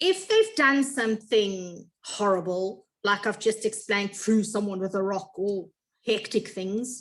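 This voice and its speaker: With a normal speaking voice, a woman talks at a fairly slow pace, her pitch fairly high and its variation ordinary. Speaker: grade one teacher. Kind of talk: information meeting for parents. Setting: video call.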